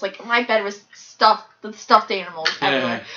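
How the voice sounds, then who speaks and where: Here a woman talks at a fairly quick pace. There is light background noise. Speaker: storyteller in a home comedy video. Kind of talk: casual storytelling. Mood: playful, laughing. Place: home room. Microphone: camera far.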